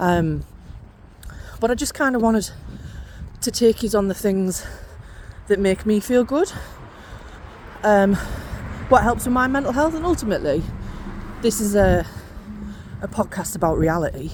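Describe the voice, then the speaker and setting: A woman with a northeast English accent talks at a moderate pace with medium pitch and lively intonation. She takes long, frequent pauses over noticeable background noise. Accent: northeast English twang. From northeast England. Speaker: podcast host and coach. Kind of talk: casual chat. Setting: outdoors on a walk.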